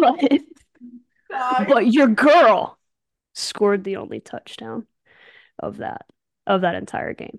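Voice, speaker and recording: In an American accent, a woman speaks very slowly in a fairly high voice with vocal fry and lively intonation, leaving long, frequent pauses, her loudness swinging widely in a dry, close sound with no echo. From Alabama, US South. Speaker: podcast co-host, former national team softball player. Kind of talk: casual chat.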